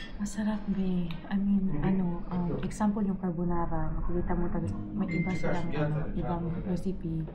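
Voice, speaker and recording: Soft-spoken and at a moderate pace, a woman talks with fairly low pitch, monotone, flat intonation and very even loudness, with audible room echo and noticeable background noise. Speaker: travel vlogger. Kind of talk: casual chat.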